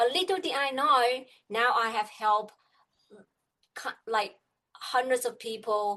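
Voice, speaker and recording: A woman with a Chinese accent speaks very slowly in a bright, sharp tone with lively intonation. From China. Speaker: business coach. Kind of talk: interview. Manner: halting.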